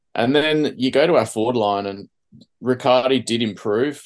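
The background stays quiet. Someone talks at a moderate pace with an Australian accent. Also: man. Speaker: podcast host. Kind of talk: casual chat. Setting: video call.

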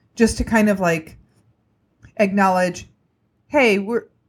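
A woman speaks in a somewhat breathy voice. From small town. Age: 30s. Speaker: comedian. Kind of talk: casual chat. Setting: video call.

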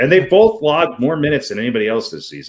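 Very wide pitch swings and vocal fry in a man's voice. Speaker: sports podcast co-host. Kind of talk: casual sports banter. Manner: joking, bantering.

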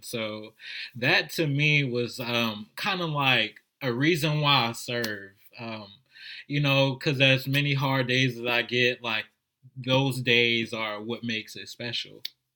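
A man speaks in a New Orleans accent at a very slow pace. His tone is bright and sharp, with fairly even intonation. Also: medium pitch for a man. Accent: New Orleans American. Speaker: service volunteer, school mentor. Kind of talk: casual interview.

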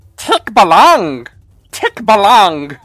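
A put-on character voice with a fairly high pitch. The pitch swings very widely. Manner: goofy.

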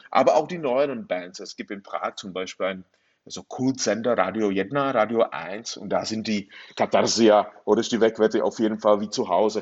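The speech has a moderate pace and ordinary pitch variation. Its loudness swings widely. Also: man. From northern Bohemia, Czechoslovakia. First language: Czech (speaking German). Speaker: novelist. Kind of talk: interview. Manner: halting.

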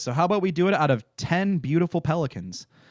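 A man with a Midwestern American accent speaks at a moderate pace with lively intonation. The recording is very clean, with a silent background. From Michigan. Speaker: podcast co-host. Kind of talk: casual chat.

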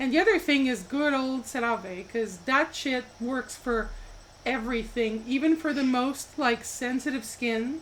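High-pitched woman's voice at a fairly slow pace with ordinary pitch variation. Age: 30s. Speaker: podcast co-host. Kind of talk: casual chat.

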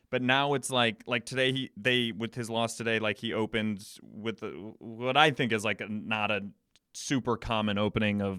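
A man with a fairly low pitch talks at a moderate pace with fairly even intonation, in a dry, close sound with no echo on a very clean recording against a silent background. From Chicago, US Midwest. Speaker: actor and improviser. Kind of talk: casual chat. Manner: halting, many restarts and fillers; laughs often.

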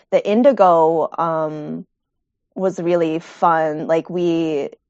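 In an American accent, a woman with an unremarkable speaking voice talks at a fairly low pitch with fairly even intonation. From Rochester, New York. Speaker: textile artist and instructor. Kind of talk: interview, casual. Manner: casual, many fillers.

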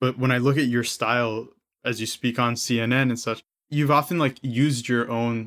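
A man with an American accent speaks in an unremarkable speaking voice at medium pitch, with fairly even intonation and a moderate pace, in a very clean recording with a silent background. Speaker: podcast host. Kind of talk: interview conversation.

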